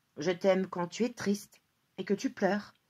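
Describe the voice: Nothing but quiet sits behind the voice. The text is simply read aloud in a plain way.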